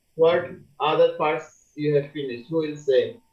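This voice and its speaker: A man speaks with a Bangladeshi accent. His intonation is fairly even. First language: Bengali. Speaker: university lecturer. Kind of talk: lecture.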